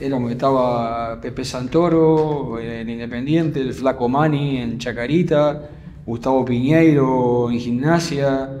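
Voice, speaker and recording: Very slow and with fairly even intonation, a man talks in an Argentine accent. Light background noise can be heard. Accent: Rioplatense Argentine Spanish. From Buenos Aires area, Argentina. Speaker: football coach, former goalkeeper; football coach. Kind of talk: interview. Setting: club gym. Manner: halting, frequent repetitions. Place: gym. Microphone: studio mic.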